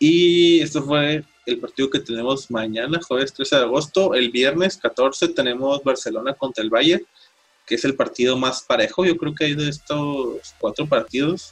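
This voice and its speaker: A man talks at a fairly slow pace in a Mexican accent. His pitch is fairly high, with ordinary variation. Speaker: sports podcast host. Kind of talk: casual chat.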